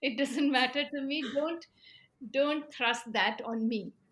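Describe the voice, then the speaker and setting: Raising and projecting her high voice, a woman speaks at a fairly slow pace in a bright, sharp tone with ordinary pitch variation. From eastern India (Bihar and Bengal), Punjabi family. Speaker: author and filmmaker. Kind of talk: interview conversation. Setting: video call. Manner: halting, many fillers.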